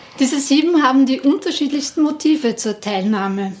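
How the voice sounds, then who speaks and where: Lively intonation colors a woman's normal speaking voice as she talks fairly slowly. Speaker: podcast host, district museum staff. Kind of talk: casual interview and presentation.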